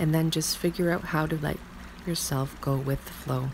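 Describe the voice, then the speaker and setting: Soft-spoken and in a calm tone, a woman talks at a moderate pace with fairly even intonation over noticeable background noise. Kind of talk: meditation / self-help affirmation reading. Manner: soft-spoken, calm.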